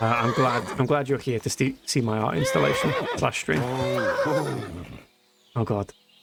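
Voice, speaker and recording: Talking at a fairly slow pace with hardly any pauses, a man with a British accent keeps his loudness very even over noticeable background noise. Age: 20s. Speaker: video game streamer. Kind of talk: live gameplay commentary, casual chat with viewers. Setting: live stream.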